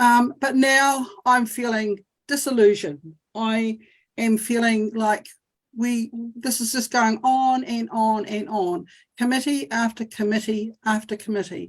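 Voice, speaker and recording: A woman speaks in a New Zealand accent at a fairly slow pace. Her voice is fairly high and somewhat breathy, with fairly even intonation. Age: 60s. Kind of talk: testimony. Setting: video call. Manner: halting.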